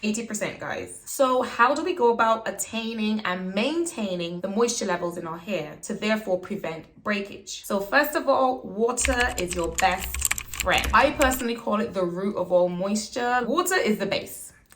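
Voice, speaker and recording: Noticeable background noise runs behind a woman whose intonation is lively. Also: fairly high pitch for a woman, moderate pace. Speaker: beauty vlogger. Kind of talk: tutorial. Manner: casual and chatty.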